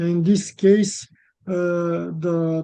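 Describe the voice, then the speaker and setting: Monotone, flat intonation in a dark, mellow tone with a non-native accent. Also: man. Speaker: researcher presenter. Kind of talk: webinar presentation and Q&A. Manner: halting.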